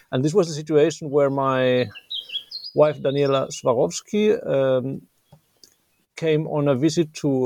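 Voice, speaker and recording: A man with a fairly high pitch talks at a fairly slow pace, leaving long, frequent pauses. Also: ordinary pitch variation. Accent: Finnish. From Finland. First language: Finnish. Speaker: anthropologist and author. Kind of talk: interview.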